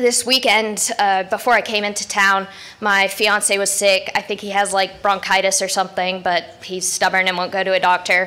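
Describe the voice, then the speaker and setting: Barely pausing, a woman of medium pitch speaks in a monotone, flat intonation over noticeable background noise. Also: moderate pace. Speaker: conference speaker. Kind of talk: conference talk. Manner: loud; blunt.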